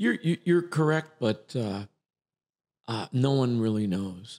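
A man speaks with a slight New York accent, his intonation lively and his tone animated. His pace is fairly slow, and the sound is dry and close with no echo. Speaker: acting coach. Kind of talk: casual interview chat. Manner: animated, jokey.

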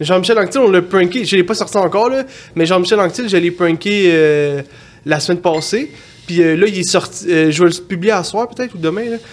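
The speaker has a Quebec accent. The pace is fairly quick. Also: man, high pitch for a man, ordinary pitch variation. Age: 30s. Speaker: prank-call content creator. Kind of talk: casual chat.

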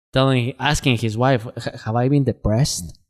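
Music plays behind a man speaking at a medium pitch. His intonation stays fairly even. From Guatemala. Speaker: cold therapy business founder. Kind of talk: casual interview chat.

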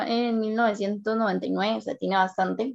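A woman with a Costa Rican accent speaks at a very slow pace in a fairly high pitch, with ordinary pitch variation and a quiet background. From Costa Rica, San Carlos. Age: 20s. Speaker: engineering student. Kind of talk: interview.

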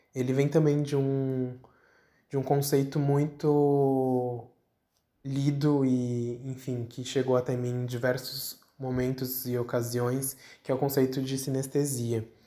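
The man speaks at a very slow pace in a medium pitch. His tone is dark and mellow, his intonation monotone and flat. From São Paulo, Brazil. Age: 20s. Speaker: museum designer. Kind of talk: interview answer. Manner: hesitant, many fillers.

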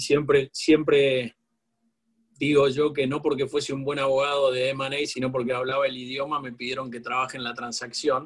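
In a monotone, flat delivery, a man talks at a moderate pace and medium pitch, sounding somewhat breathy. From Argentina. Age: 40s. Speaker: corporate lawyer. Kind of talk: interview.

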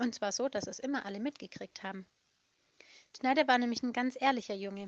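A woman with a high pitch speaks with ordinary pitch variation in a dry, close sound with no echo. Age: 30s. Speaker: children's home worker telling stories. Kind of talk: storytelling for children. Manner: warm, simple explanatory.

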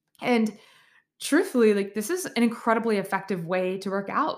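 A woman with a fairly high pitch and ordinary pitch variation speaks in an ordinary speaking voice. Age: 30s. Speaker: podcast host, physical therapist and yoga teacher. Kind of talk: solo podcast monologue. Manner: casual, filler-heavy.

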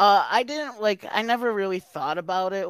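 A man talks at a moderate pace with ordinary pitch variation, in a normal speaking voice. The recording is very clean, with a silent background. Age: 20s. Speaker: comedian. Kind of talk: casual chat.

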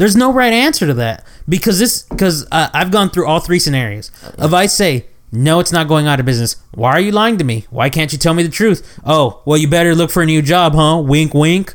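Talking at a fairly quick pace with hardly any pauses, a man uses lively intonation at a fairly high pitch. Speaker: podcast co-host. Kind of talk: casual chat.

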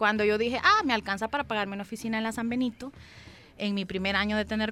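Very fast speech from a woman, medium in pitch. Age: 30s. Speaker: graphic designer and entrepreneur. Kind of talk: interview.

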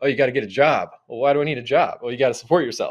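A man is speaking. The background is quiet. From US South, Atlanta, Georgia. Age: 30s. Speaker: explorer and adventurer. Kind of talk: casual interview chat.

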